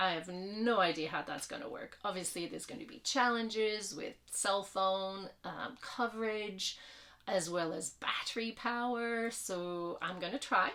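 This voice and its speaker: A woman with a French Canadian accent talks at a fairly slow pace with lively intonation. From Quebec. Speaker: vlogger, hiker. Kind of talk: casual vlog introduction. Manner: hesitant, many fillers.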